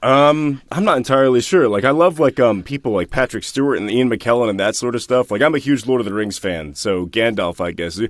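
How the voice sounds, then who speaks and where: A man with an unremarkable speaking voice talks at a fairly quick pace with hardly any pauses. His pitch is medium and his intonation lively. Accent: American. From United States. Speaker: voice actor. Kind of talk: interview answer. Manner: casual.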